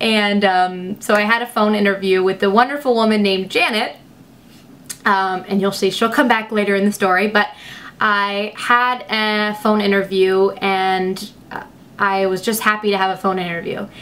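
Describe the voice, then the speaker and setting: A woman at a moderate pace, with fairly even intonation. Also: medium pitch for a woman. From US, moved around; grew up from 11 in Lexington, Kentucky. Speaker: beauty vlogger. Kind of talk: casual vlog storytelling. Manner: mumbling, hesitant with fillers.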